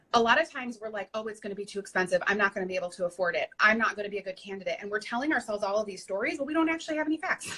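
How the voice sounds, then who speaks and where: Speaking with an American accent, this voice moves at a very fast pace with hardly any pauses and lively intonation. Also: woman, fairly high pitch for a woman. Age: 30s. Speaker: weight loss success story guest. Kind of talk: interview, personal testimony.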